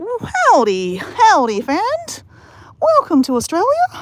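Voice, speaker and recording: In a put-on character voice, a woman talks at an extremely high pitch and at a fairly slow pace. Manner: jokey, exaggerated.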